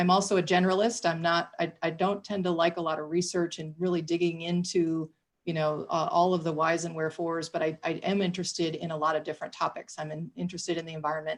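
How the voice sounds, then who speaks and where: In a Michigan accent, a woman talks at a very fast pace with a fairly low pitch and monotone, flat intonation. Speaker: city government official. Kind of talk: panel discussion.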